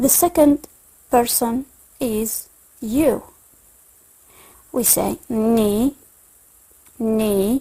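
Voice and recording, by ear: A woman speaks at a very slow pace with long, frequent pauses, her pitch fairly high with ordinary variation. Her tone is dark and mellow, with a slightly husky edge.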